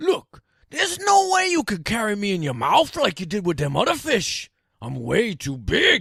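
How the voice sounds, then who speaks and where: A man uses a put-on character voice, pitched high and delivered at a moderate pace. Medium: read story. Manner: laconic, dry, unimpressed.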